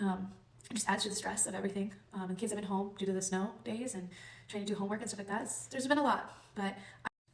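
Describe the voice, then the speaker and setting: With audible room echo and noticeable background noise, a woman at a medium pitch talks at a very fast pace with ordinary pitch variation. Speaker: chronic illness vlogger. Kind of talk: personal testimony. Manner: hesitant, many ums; occasional stutter.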